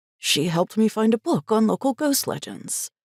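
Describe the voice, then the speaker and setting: A woman speaks in a put-on character voice. Her pitch sits fairly high. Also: moderate pace. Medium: read story. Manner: friendly, slightly sheepish.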